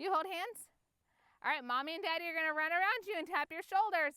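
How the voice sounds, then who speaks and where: In a raised, projected voice with a bright, sharp tone, a woman with an American accent speaks at an extremely high pitch with ordinary pitch variation. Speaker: family photographer. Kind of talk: directing a photo session with kids. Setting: outdoors. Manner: animated, playful.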